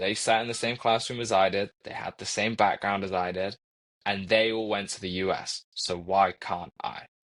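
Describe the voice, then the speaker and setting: A man with an American accent speaks at a fairly low pitch and a moderate pace. His intonation is monotone and flat. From Coventry, England. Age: 20s. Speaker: university student and mentor. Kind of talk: podcast interview.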